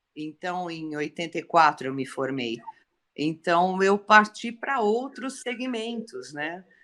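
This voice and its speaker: Very slowly, a woman with a fairly low pitch and a bright, sharp tone speaks with very wide pitch swings. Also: big swings in loudness. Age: 60s. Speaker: civil engineer. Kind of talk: testimony.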